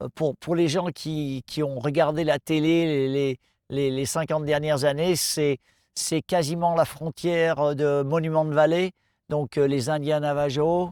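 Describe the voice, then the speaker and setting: A man speaks at a very slow pace in a flat, monotone delivery, the sound dry and close with no echo. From France. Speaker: off-road motorcycle event promoter. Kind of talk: interview answer. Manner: hesitant, casual.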